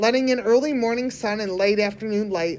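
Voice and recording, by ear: Here the text is read aloud in a natural voice.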